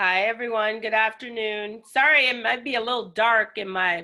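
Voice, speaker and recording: At a fairly slow pace, a woman with a fairly high pitch speaks with fairly even intonation in an ordinary speaking voice. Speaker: city outreach liaison. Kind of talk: webinar presentation. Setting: video call from basement office.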